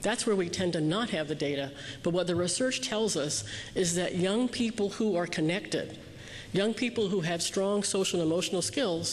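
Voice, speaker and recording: Intonation rises and falls in a lively way. The delivery is fairly quick. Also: woman. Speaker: keynote speaker on youth development. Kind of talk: keynote speech. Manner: fast.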